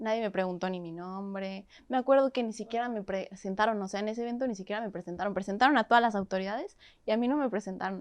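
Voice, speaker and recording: Against a quiet background, a woman with a medium-pitched voice and ordinary pitch variation talks at a very fast pace. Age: 20s. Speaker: activist. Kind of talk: interview.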